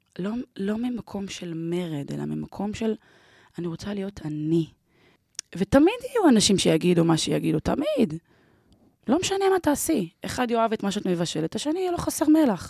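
With a dark, mellow tone and a medium pitch, a woman talks at a moderate pace, her pitch swinging very widely between long, frequent pauses. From Israel, Ramat Gan. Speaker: event producer and emotional therapist. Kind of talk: personal interview storytelling.

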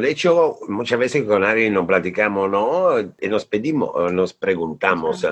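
Against a quiet background, a man with an Italian accent speaks at a fairly slow pace. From northern Italy (Bolzano). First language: Italian (speaking Spanish). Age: 40s. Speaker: creative director. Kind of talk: casual interview.

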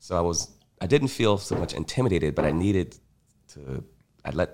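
With vocal fry and an American accent, the speaker talks at a fairly quick pace. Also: man. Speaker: taproom hospitality staff and artist. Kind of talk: casual chat. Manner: smooth.

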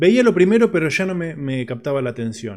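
A man with a Rioplatense accent at a moderate pace. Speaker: podcast host. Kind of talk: casual interview chat. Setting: studio.

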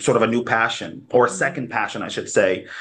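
The voice has a bright, sharp tone with an American accent. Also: man. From New Haven, Connecticut. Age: 30s. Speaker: community organizer. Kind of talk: interview.

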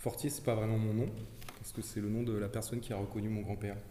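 Amid audible room echo, a man with a fairly low pitch talks at a fairly quick pace. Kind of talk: group discussion.

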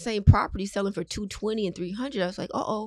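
A woman speaks with an American accent. It's a plain, everyday voice. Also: very clean recording, silent background. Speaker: realtor. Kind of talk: interview.

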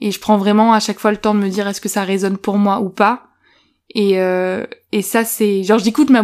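A woman at a medium pitch and moderate pace, on a very clean recording with a silent background. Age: 20s. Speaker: podcast co-host. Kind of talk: interview. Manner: hesitant.

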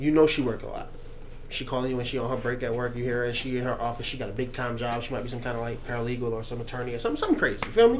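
Noticeable background noise and audible room echo surround the recording. A man speaks at a very fast pace. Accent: American. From New York. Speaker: podcast host. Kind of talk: casual chat.

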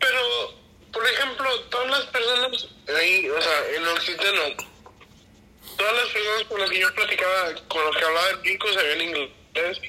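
Raised and projected, a man's high-pitched voice moves at a moderate pace with lively intonation against noticeable background noise. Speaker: friend. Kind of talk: casual chat. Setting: video call.

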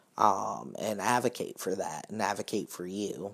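This is a man with an American accent. He speaks at a very slow pace. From US South. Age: 20s. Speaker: social worker. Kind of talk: casual chat.

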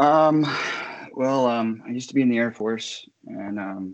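With an American accent, this speaker's pitch varies in an ordinary way. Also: man. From eastern Ohio, near West Virginia border. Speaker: Air Force veteran, soccer fan. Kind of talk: casual podcast interview. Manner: hesitant, many fillers.

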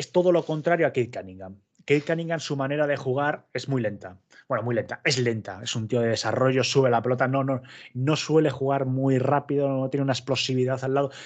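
This is an ordinary speaking voice, a man at medium pitch with ordinary pitch variation. He talks at a fairly quick pace against a quiet background. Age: 30s. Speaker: basketball content creator. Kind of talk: casual chat.

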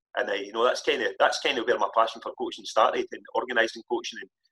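Very fast speech from a man with a Scottish accent, dry and close with no echo. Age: 50s. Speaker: football coach. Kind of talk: casual chat.

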